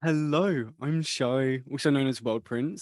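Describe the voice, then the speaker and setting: A man with a British accent and ordinary pitch variation, in a very clean recording with a silent background. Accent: British, praised. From UK. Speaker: music producer. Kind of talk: casual chat.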